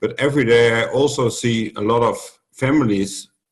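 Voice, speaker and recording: With a Dutch accent, a man speaks at a medium pitch and with fairly even intonation. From Netherlands. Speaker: youth protection worker. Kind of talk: roundtable discussion. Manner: halting.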